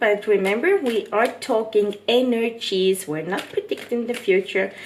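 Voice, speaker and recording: A woman with a non-native accent speaks at a very slow pace and fairly high pitch. There is noticeable background noise. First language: not English. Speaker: tarot reader. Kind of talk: tarot reading monologue. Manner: casual, hesitant with fillers.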